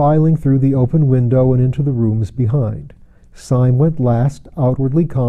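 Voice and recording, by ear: A natural voice reading aloud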